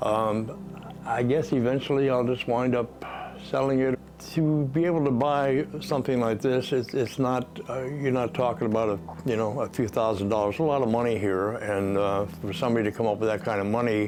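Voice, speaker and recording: A man's medium-pitched voice at a fairly quick pace, with very even loudness and noticeable background noise. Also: ordinary pitch variation. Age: 80s+. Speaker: sports memorabilia collector. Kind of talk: casual interview talk. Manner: halting, many fillers.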